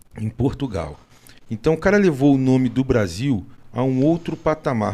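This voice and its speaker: His medium-pitched voice has a dark, mellow tone, and the man speaks at a moderate pace. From Rio de Janeiro, Brazil. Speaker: podcast host. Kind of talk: casual chat.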